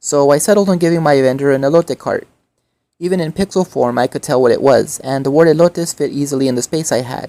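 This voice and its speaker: In a very deep, low pitch, a woman with a dark, mellow tone and ordinary pitch variation talks at a very fast pace, the sound dry and close with no echo and the recording very clean over a silent background. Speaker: artist and activist. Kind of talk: voiceover narration.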